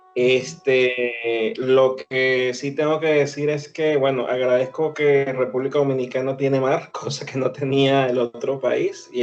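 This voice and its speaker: A man's monotone, flat intonation at medium pitch, over noticeable background noise. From Venezuela. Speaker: author and psychologist. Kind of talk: interview.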